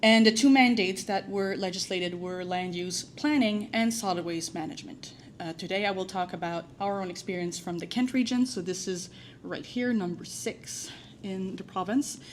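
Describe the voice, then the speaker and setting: A woman with a strong French accent talks at a moderate pace, her pitch medium and ordinary in variation. Audible echo fills the room. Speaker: waste management professional, conference presenter. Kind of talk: conference presentation. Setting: conference room with audience. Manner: hesitant, frequent filler words.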